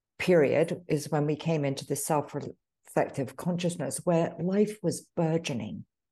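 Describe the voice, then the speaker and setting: A woman with a dark, mellow tone speaks at a fairly slow pace over a quiet background. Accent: British. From United Kingdom. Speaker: author. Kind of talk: casual interview conversation.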